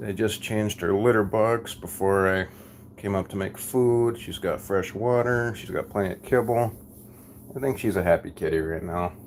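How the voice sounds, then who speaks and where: Here a man with an American accent talks at a moderate pace. His pitch is fairly low, with ordinary pitch variation. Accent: thick Minnesotan accent (per viewers). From Minnesota. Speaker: live streamer. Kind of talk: casual live stream chat.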